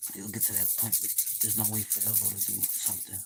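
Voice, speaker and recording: A man speaks in a fairly low pitch with a somewhat breathy voice. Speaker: live streamer. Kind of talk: casual livestream monologue. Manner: fast; animated.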